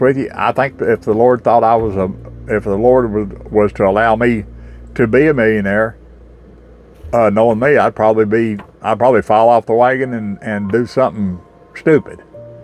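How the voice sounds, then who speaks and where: Speaking at a moderate pace, a man uses a medium pitch and fairly even intonation. He talks with a Southern US accent. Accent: US South. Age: 60s. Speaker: recovering alcoholic sharing faith testimony. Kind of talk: spoken testimony. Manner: halting, with many repetitions and fillers.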